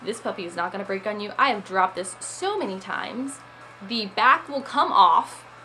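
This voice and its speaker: A woman at a medium pitch and moderate pace, with ordinary pitch variation, big swings in loudness and noticeable background noise. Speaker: YouTube vlogger. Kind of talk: casual product review. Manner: chatty.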